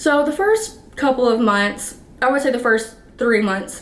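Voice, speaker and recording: Audible room echo surrounds a woman who speaks at a moderate pace with ordinary pitch variation. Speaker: vlogger and dancer. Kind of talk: casual storytelling vlog. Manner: casual, filler-heavy.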